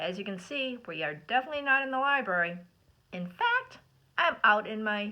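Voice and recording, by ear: Someone reads aloud in a natural voice. Their intonation rises and falls in a lively way.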